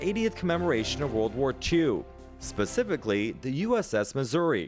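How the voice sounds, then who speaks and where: A man talks at a moderate pace. Background music plays behind him. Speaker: TV news anchor. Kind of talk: TV news report narration.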